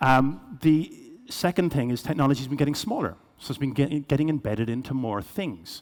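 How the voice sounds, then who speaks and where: Fairly quick speech in a Cork accent. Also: man. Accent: Irish, Cork. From Ireland, Cork. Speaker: business executive, keynote speaker. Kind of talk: keynote presentation. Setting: stage with audience. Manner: fast.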